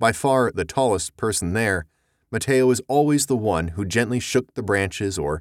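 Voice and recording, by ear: The background is quiet as a natural voice reads aloud.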